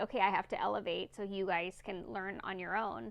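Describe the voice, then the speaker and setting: A woman speaks with vocal fry. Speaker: tarot reader. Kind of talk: tarot reading monologue. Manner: fast; casual, with fillers.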